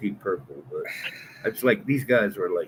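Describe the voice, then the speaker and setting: A man speaks at a moderate pace. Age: 60s. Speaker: co-host. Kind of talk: casual chat.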